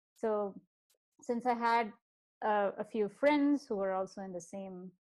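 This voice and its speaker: A woman with a slight Indian accent speaks at a moderate pace. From South India, Bangalore. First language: Kannada and Telugu. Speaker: podcast guest, software professional. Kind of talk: interview. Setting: video call. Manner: hesitant, many fillers.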